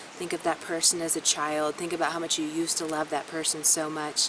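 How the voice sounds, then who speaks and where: Noticeable background noise sits behind the recording. A woman speaks with a very deep, low pitch and a monotone, flat intonation. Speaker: astrologer. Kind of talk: astrology forecast monologue. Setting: self-recorded on camera. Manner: fast.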